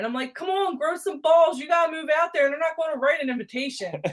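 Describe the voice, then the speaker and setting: A woman speaks with a Baltimore accent. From Baltimore County, Maryland. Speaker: podcast guest. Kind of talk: casual chat. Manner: animated.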